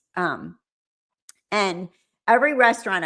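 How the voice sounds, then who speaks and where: On a very clean recording with a silent background, a woman talks with lively intonation in an American accent. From Chicago, Illinois, then California. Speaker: live-stream host, nurse commenting on trial. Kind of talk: casual chat. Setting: live stream reading chat. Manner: rambling, filler-heavy.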